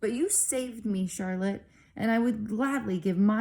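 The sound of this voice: The reading is delivered in an unforced voice, its pitch varying in an ordinary way.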